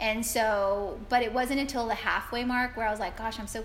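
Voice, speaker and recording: Heard with audible room echo, the speaker has an American accent and a moderate pace. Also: woman. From South Texas. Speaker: marathon runner and occupational therapist. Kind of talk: interview.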